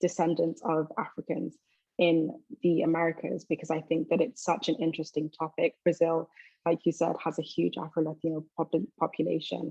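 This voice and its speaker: A woman with a London accent, fairly low pitch and a dark, mellow tone, in a dry, close sound with no echo. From London, England. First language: Twi. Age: 20s. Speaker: university student. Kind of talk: interview.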